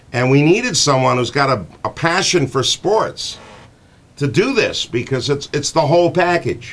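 A man speaks with an American accent and a fairly high pitch. His intonation is lively at a moderate pace. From Connecticut, USA. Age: 60s. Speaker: morning radio show host. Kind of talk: radio show talk, casual and chatty. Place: studio. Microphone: studio mic.

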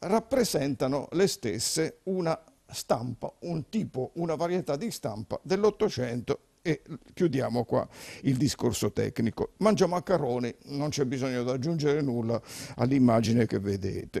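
Against a quiet background, a man speaks at a moderate pace with lively intonation, a fairly high pitch, and a dark, mellow tone. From Abruzzo, Italy. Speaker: journalist and cookbook author; journalist. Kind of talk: TV interview. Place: studio. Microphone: handheld.

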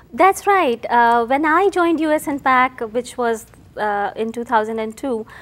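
At a very slow pace, a woman with an Indian accent speaks at a high pitch. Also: lively intonation. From India (Calcutta). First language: Hindi or Bengali. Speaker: CEO and scientist. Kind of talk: interview. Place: studio. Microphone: lapel.

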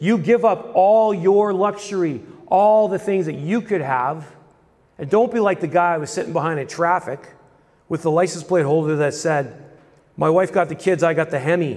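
The background is quiet as a man speaks at a moderate pace. His pitch sits high and varies by an ordinary amount. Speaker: preacher. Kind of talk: sermon. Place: hall. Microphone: handheld.

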